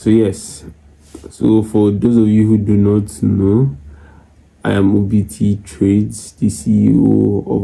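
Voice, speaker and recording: Quiet and very slow, a man speaks in a fairly low pitch. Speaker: forex trader and YouTuber. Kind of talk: casual chat to camera. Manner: low, quiet voice.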